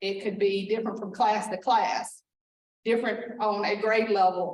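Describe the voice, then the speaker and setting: A woman speaks at medium pitch and a moderate pace. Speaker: school district administrator. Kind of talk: presentation. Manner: loud.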